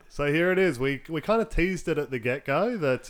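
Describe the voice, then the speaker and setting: Speaking at a fairly quick pace with lively intonation, a man with an Australian accent is heard over noticeable background noise. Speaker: podcast co-host. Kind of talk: casual chat.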